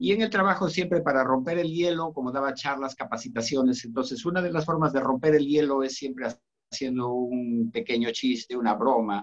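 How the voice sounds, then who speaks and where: A man's unremarkable speaking voice at a fairly quick pace, lively intonation, and hardly any pauses. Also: medium pitch for a man. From Cajamarca, northern Peru. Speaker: author. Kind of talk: casual chat.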